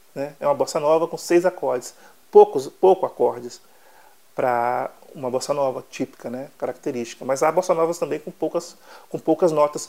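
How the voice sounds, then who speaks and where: At a moderate pace, a man speaks in a fairly high voice with a dark, mellow tone and big swings in loudness. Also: ordinary pitch variation. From Brazil, southern Bahia. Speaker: songwriter. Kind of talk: interview.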